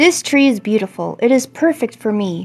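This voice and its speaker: A woman uses a put-on character voice at a fairly high pitch. She keeps a moderate pace. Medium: read story.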